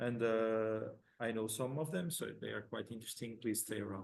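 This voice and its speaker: There is audible room echo as a man with an Italian accent speaks with fairly even intonation. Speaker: conference session moderator. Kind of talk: conference moderation. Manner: halting, repeats words.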